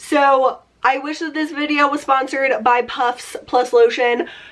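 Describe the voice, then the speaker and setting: This woman's voice is high. She talks fairly slowly. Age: 20s. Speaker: beauty vlogger. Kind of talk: casual vlog talk. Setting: home room. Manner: chatty, lots of 'like'.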